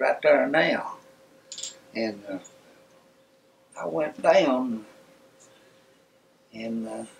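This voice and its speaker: Over noticeable background noise, a man with an East Tennessee accent talks at a medium pitch and a very slow pace, with long, frequent pauses, ordinary pitch variation and big swings in loudness. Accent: East Tennessee Southern. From Knoxville, Tennessee. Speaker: World War II veteran. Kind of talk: interview answer.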